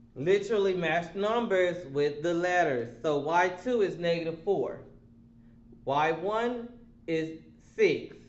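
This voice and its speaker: A man with a high-pitched voice speaks at a very slow pace, leaving long, frequent pauses. His pitch varies in an ordinary way, and the room echo is audible. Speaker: math teacher. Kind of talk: lecture. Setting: online remote class. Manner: slow, deliberate.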